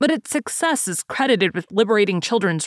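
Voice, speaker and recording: A woman speaks fairly quickly at a medium pitch, her voice making very wide pitch swings. The sound is dry and close, with no echo. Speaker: podcast host. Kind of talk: literary essay reading. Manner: measured, formal; steady, even-paced.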